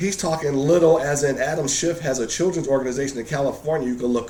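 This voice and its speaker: With audible room echo and noticeable background noise, a man talks at a fairly high pitch with ordinary pitch variation. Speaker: political video blog host. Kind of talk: political commentary chat. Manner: fast.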